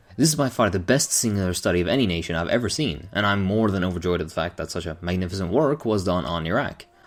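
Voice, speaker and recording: A very fast man's voice, fairly low in pitch, with lively intonation and music in the background. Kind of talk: book review talk to camera. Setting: echoey empty room.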